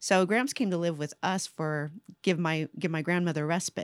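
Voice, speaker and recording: A woman with an American accent and a plain, everyday voice speaks at a moderate pace in a fairly low pitch, her intonation fairly even and the sound dry and close with no echo. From Central California. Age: 50s. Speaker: nonprofit state director.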